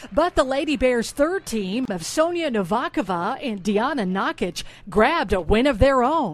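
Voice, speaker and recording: A woman at a moderate pace with an upbeat tone and very wide pitch swings. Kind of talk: sports news show hosting. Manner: polished, upbeat broadcaster delivery.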